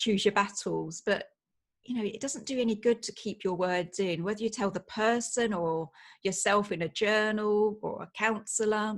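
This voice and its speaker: With a British accent, a woman speaks in fairly even intonation against a quiet background. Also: moderate pace. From UK. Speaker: writer and former nurse. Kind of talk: podcast interview.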